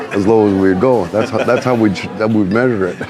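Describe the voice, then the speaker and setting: A man's fairly low voice with an American accent at a very fast pace, with audible room echo and music in the background. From California, Soledad area. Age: 70s. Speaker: car club co-founder. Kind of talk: interview. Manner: halting.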